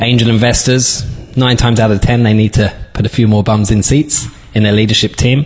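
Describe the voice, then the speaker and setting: There is noticeable background noise as a man speaks at a fairly quick pace. His fairly low voice keeps a fairly even intonation. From London, England. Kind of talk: interview.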